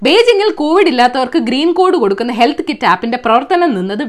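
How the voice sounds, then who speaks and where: A woman's high voice with very wide pitch swings. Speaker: satirical news presenter. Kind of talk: satirical news roundup. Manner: sarcastic, conversational.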